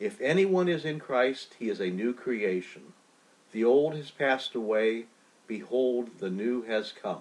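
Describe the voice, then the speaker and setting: A man's ordinary speaking voice, medium in pitch, at a fairly slow pace with lively intonation. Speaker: bishop leading prayer. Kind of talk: liturgical noon prayer, read aloud. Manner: formal, measured, reverent; slow, solemn, even pacing.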